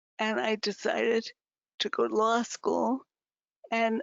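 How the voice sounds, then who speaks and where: In an American accent, a woman speaks. Her pace is very slow. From upstate New York. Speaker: artist and patient activist. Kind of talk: testimony. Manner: halting.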